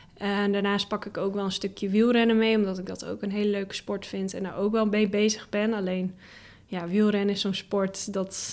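Monotone, flat delivery from a woman on a very clean recording with a silent background. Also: medium pitch for a woman, moderate pace. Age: 20s. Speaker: full-time blogger. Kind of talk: podcast interview. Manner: hesitant with many fillers.

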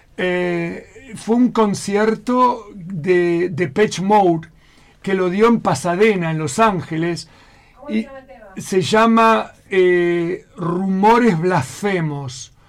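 A man's high-pitched voice at a very slow pace, with ordinary pitch variation over noticeable background noise. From Argentina. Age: 60s. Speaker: emigrant restaurant waiter. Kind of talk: radio interview.

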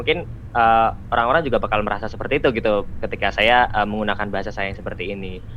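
Here a man speaks very fast. His pitch is fairly low, with ordinary variation. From Central Java (Magelang). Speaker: university student, volunteer. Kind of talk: casual podcast interview.

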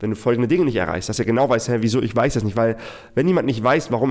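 With a medium pitch and normal rise and fall, a man is talking. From Hamburg suburbs, Germany (moved from Iraq at six). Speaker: business consultant for freelancers. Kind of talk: solo storytelling monologue. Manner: casual with fillers and repetitions.

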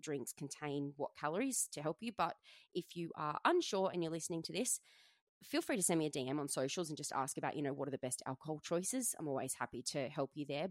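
With an Australian accent, a woman speaks at a fairly quick pace in a very deep, low pitch, her voice dry and close with no echo on a very clean recording with a silent background. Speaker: personal trainer and fitness coach podcast host. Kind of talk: solo podcast monologue. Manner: casual, chatty.

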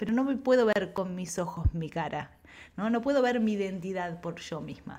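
Here a woman speaks at medium pitch with ordinary pitch variation. Her voice is somewhat breathy. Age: 40s. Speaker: creativity coach and ceramicist. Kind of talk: casual interview chat.

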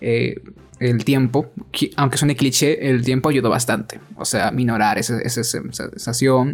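Music plays in the background as a man talks at medium pitch. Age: 20s. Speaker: podcast co-host. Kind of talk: casual chat. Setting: at home.

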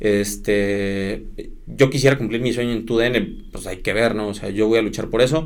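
With a Mexican accent, a man talks at a fairly slow pace in a fairly low pitch. Audible room echo surrounds his voice. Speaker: sports broadcaster. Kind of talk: casual chat.

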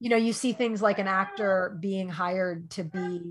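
Somewhat breathy, a woman with an American accent speaks at a fairly slow pace. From New York. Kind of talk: casual interview.

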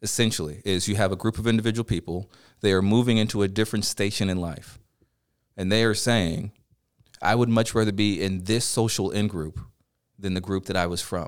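A man with a normal speaking voice talks at a fairly low pitch and a fairly quick pace. His intonation is fairly even, and the recording is very clean with a silent background. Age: 30s. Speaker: teacher. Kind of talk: casual chat.

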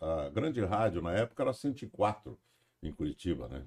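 The voice has a dark, mellow tone with vocal fry and moves at a moderate pace. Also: man. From Paranaguá, Paraná, southern Brazil. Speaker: radio broadcaster. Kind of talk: casual chat.

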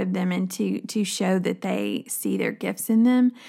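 A woman with a Southern US accent, on a very clean recording with a silent background. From rural West Tennessee. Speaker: women's minister. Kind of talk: podcast conversation.

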